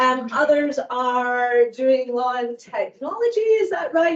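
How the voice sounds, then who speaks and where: She speaks in a Scottish accent. Her intonation is lively. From Scotland. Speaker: law professor. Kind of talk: lecture. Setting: lecture hall with audience.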